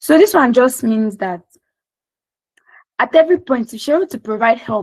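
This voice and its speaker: With a somewhat breathy voice, a woman talks fairly quickly with lively intonation. The sound is dry and close, without echo. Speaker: UI/UX design instructor. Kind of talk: lecture. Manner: fast.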